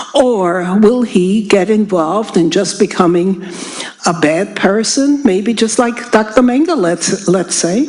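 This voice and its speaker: Spoken at a fairly slow pace with very even loudness, the voice comes through noticeable background noise and audible room echo. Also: woman, medium pitch for a woman, ordinary pitch variation. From Germany. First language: German. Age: 80s+. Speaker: Holocaust survivor speaker. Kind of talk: public talk. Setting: stage with audience.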